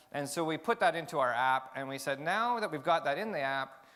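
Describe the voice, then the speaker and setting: The voice is loud, with a bright, sharp tone. It moves at a fairly quick pace. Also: man. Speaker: tech company CEO. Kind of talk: conference talk. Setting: stage with audience. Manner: fast.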